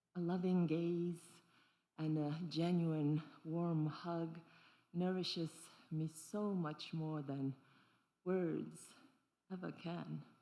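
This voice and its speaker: In a room with audible echo, a woman with a dark, mellow tone and fairly low pitch speaks at a very slow pace, leaving long, frequent pauses. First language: not English; grew up with three languages. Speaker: dancer and performance artist. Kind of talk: solo stage performance with audience interaction. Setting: stage with audience. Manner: animated.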